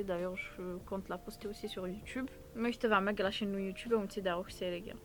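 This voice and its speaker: Noticeable background noise sits under a woman speaking at a medium pitch in a monotone, flat intonation. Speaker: entrepreneur and content creator. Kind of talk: testimony. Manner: hesitant, many fillers.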